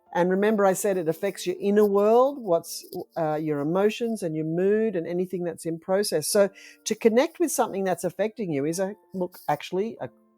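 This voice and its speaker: Fairly quick, lively speech from a woman at a medium pitch, dry and close with no echo, music playing in the background. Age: 60s. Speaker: midwife and educator. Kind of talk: interview.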